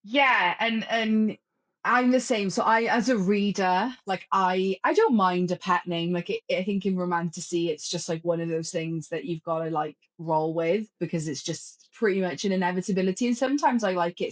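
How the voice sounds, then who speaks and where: At a moderate pace, a woman with a Welsh accent speaks at medium pitch with ordinary pitch variation, her sound dry and close with no echo. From Wales. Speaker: author. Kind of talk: casual chat. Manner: halting.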